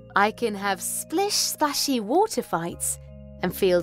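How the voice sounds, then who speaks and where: A woman speaks with a dry sound and no echo. Faint music plays behind her. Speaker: voice-over artist. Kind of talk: children's storybook read aloud.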